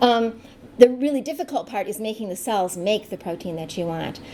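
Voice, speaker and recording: A woman talks at a fairly high pitch with lively intonation. Noticeable background noise can be heard. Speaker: biotech scientist. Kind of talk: lecture. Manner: fast.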